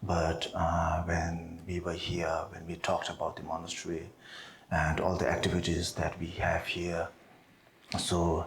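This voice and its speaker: A man with a Tibetan accent speaks in a very deep, low voice, somewhat breathy. His intonation is monotone and flat, and his pace is fairly slow. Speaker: Buddhist monk teacher. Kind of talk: dharma teaching. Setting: monastery seminar with audience. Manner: hesitant, many fillers.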